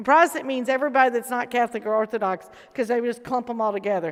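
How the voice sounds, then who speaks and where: In a Southern US accent, a woman talks very fast with a high pitch, an animated tone and ordinary pitch variation. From US South. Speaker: protestant chaplain. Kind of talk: casual panel chat.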